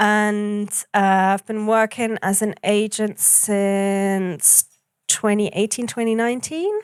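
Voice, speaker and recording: In a very clean recording with a silent background, a woman with a medium pitch and a German accent speaks very slowly with fairly even intonation. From Germany, Hamburg. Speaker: booking agent. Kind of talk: panel interview. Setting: café workshop with audience.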